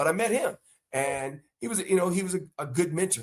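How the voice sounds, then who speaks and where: This man's voice is somewhat breathy. He rushes along at a very fast pace, his pitch varying in an ordinary way. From North Carolina. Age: 50s. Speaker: former pro football player and coach. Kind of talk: interview.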